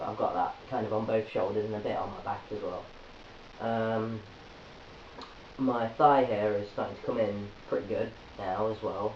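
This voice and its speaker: A man with an English accent at a moderate pace, long and frequent pauses, noticeable background noise and audible room echo. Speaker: video blogger. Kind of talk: vlog update. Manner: hesitant, many fillers.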